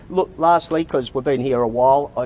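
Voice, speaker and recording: Pitch varies in an ordinary way as a man talks with an Australian accent. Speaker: sacked baggage handler speaking at press conference. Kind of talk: press conference statement. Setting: press conference at Parliament House.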